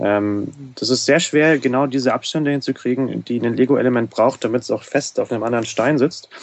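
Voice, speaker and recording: A man with a normal speaking voice, medium pitch and fairly even intonation, at a fairly quick pace with hardly any pauses. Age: 20s. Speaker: Lego fan community organizer. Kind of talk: casual chat. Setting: studio.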